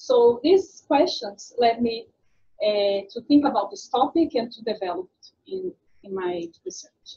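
A woman with a high, dark, mellow voice speaks at a fairly slow pace. Her pitch swings very widely, and her loudness shifts in big swings. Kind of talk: lecture. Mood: grateful, honored.

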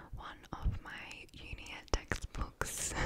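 Whispering comes from a woman here. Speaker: ASMR creator. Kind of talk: ASMR whispering. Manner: casual. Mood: giggly, relaxed. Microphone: studio mic.

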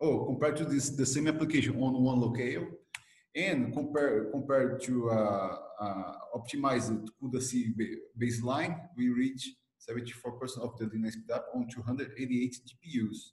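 Moderate pace and fairly even intonation from a man, with audible room echo. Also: medium pitch for a man, slightly mellow tone.

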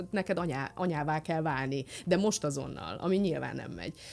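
Lively intonation carries this fairly quick delivery. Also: woman. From Romania, Satu Mare (Szatmárnémeti); Romania. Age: 30s. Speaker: physicist and influencer; interview guest. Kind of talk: casual chat; interview answer. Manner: halting. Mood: warm, reflective. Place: studio. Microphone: studio mic.

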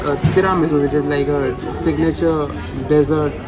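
Clear music sits in the background. A man speaks over it at a moderate pace. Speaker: food vlogger. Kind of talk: casual vlog chat. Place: cafe. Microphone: phone near.

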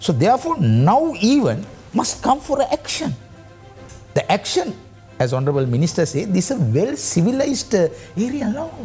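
A man keeps a moderate pace while faint music sits in the background. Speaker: guest. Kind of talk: interview answer. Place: studio. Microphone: lapel.

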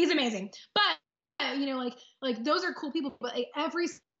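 With an American accent and lively intonation, the speaker moves at a fairly quick pace over a quiet background. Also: woman. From Texas. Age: 30s. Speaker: powerlifter and lawyer; lawyer. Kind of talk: interview; interview answer. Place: home room. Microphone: video call.

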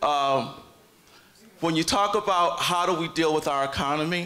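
Pitch shifts in an ordinary way while the words come at a moderate pace. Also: man. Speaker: city clerk candidate, audience questioner; candidate, questioner. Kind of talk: audience question. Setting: stage with audience. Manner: halting. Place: hall.

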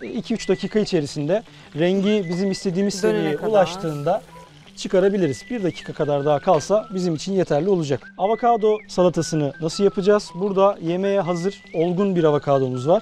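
Faint music plays in the background as a man speaks at a fairly quick pace. His pitch is high, with ordinary pitch variation. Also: dry sound with no echo. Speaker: instructor chef. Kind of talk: cooking tutorial. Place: garden. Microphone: lapel.

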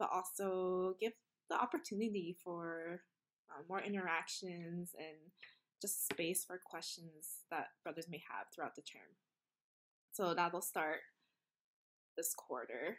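Against a quiet background, a woman with a fairly low pitch and ordinary pitch variation speaks at a fairly slow pace, with long, frequent pauses and big swings in loudness. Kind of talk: casual introduction message. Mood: warm, a bit nervous, laughing. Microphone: webcam.

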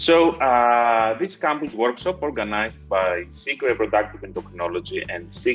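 A man's voice over faint background music. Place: office. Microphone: earbuds.

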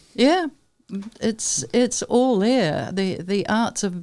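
A woman speaks with a New Zealand accent and lively intonation. Her tone is dark and mellow. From South Island, New Zealand. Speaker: artist, printmaker and painter. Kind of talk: interview answer. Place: studio. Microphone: studio mic.

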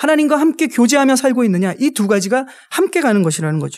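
Against a quiet background, a man with an extremely high pitch talks at a fairly quick pace with very wide pitch swings. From South Korea. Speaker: pastor. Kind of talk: sermon. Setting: chapel service. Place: classroom. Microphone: podium.

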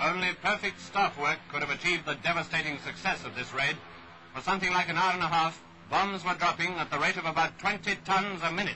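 A man's high voice in a British RP accent, fairly quick and fairly even in intonation, against noticeable background noise. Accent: 1940s British received pronunciation. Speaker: newsreel narrator. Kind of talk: 1940s wartime newsreel narration. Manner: brisk, crisp, stirring, patriotic, clipped.

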